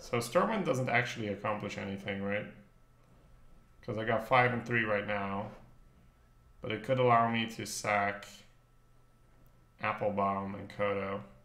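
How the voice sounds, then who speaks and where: Over audible room echo, a man with a bright, sharp tone and fairly even intonation talks at a moderate pace, leaving long, frequent pauses. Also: fairly low pitch for a man. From northern Belgium (Flanders). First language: Dutch. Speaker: game streamer. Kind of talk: live gameplay commentary. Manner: casual, thinking aloud.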